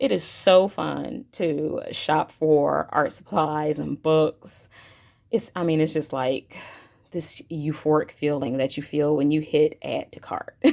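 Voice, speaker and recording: A woman's very deep, low voice with vocal fry, a very slow pace and ordinary pitch variation, in a very clean recording over a silent background. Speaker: art supply youtuber. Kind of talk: unboxing video chat. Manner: animated; halting.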